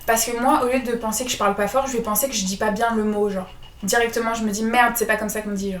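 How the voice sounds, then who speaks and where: A woman's fairly high voice at a very fast pace, with fairly even intonation and noticeable background noise. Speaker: podcast co-host. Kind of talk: casual chat. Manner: soft-spoken. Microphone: poor sound quality at start.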